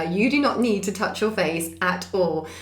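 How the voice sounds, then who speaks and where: A woman with a southern English accent talks at a moderate pace, her medium pitch moving in lively intonation. Noticeable background noise and audible room echo surround her. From Essex, England. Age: 30s. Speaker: charity founder, former nurse. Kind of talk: podcast interview.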